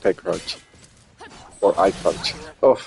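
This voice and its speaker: Over noticeable background noise, a man with a non-native accent speaks at a very slow pace. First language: not English. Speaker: streamer and tournament commentator. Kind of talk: live game commentary. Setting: live stream.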